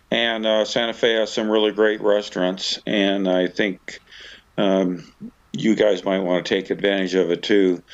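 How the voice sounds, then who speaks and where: At a fairly slow pace, a man with a fairly low voice speaks in a monotone, flat intonation with very even loudness. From Australia. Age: 70s. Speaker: motorcycle vlogger. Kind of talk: travel vlog narration.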